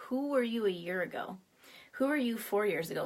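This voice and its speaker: A woman keeps a fairly quick pace, with her pitch moving in an ordinary way. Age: 60s. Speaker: tapping and affirmations coach. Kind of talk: guided tapping session on a live stream.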